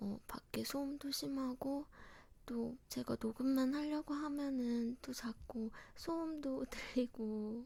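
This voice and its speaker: This soft-spoken voice whispers at a very slow pace. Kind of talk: casual talk to camera intro about recording. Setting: quiet home recording setup. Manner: soft, non-whispered, intimate.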